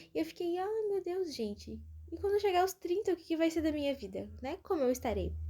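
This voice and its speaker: With a Brazilian accent, a woman speaks at a fairly quick pace in an extremely high pitch, her tone dark and mellow. Her intonation is lively, and her loudness swings widely. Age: 20s. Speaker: podcaster. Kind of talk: casual monologue. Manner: informal, chatty.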